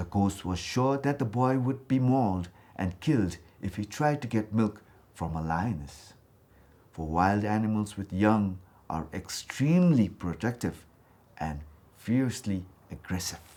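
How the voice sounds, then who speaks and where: Pausing long and often, a man talks at a fairly slow pace in a fairly low voice with a dark, mellow tone and lively intonation. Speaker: actor, storyteller. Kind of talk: children's folktale storytelling, read aloud.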